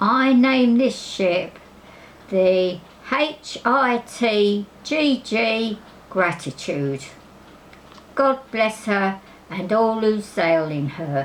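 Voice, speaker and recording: A woman uses a put-on character voice pitched fairly high, with very wide swings in pitch. She speaks at a very slow pace with long, frequent pauses over clear background noise. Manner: mock-solemn, comic.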